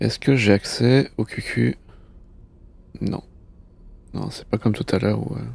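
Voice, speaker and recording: A man with a fairly low pitch and vocal fry, fairly slow with long, frequent pauses, big swings in loudness, ordinary pitch variation and a dry sound with no echo. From France. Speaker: gaming streamer. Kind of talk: casual live gameplay stream. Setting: live stream, studio.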